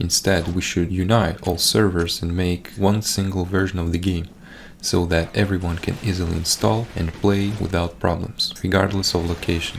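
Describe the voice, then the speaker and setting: A man's very deep, low voice in a Russian accent, at a moderate pace with fairly even intonation. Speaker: gaming YouTuber. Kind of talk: scripted commentary over gameplay. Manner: reading from a script.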